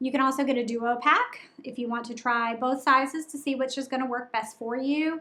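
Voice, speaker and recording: A woman with a Southern US accent speaks at a fairly slow pace. Her high voice has a bright, sharp tone and fairly even intonation. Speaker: menstrual cup reviewer, channel host. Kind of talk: product review. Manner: casual with many fillers.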